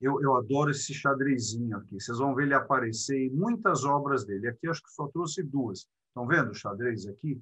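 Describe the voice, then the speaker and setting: Talking at a fairly quick pace with hardly any pauses, a man at medium pitch uses a bright, sharp tone, ordinary pitch variation and big swings in loudness. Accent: Belo Horizonte. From Brazil, Belo Horizonte. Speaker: art lecturer. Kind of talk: lecture. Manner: animated.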